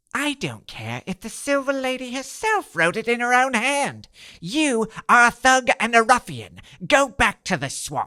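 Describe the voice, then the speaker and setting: On a very clean recording with a silent background, a cartoonish character voice speaks at a fairly high pitch. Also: moderate pace. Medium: puppet. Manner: blustering, then stammering.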